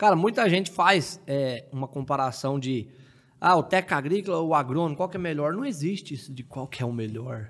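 Using an ordinary speaking voice, a man talks at a fairly high pitch with lively intonation. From southern Minas Gerais, Brazil (Delfim Moreira). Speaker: agricultural technician and tomato grower. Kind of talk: casual interview chat.

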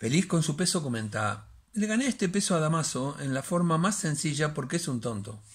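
Pitch swings very widely as a man talks at a moderate pace. The background is quiet. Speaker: bookseller and storyteller. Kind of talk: reading a short story aloud as dramatic narration. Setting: home recording, solo. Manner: hesitant, halting, repeating words in the intro; dramatic, suspenseful storytelling pace. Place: home room. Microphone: phone near.

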